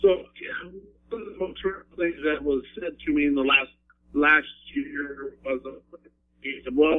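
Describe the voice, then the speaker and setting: In an Upper Midwest accent, a man speaks with lively intonation at a moderate pace. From Wyoming. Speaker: veteran and school teacher. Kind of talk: interview.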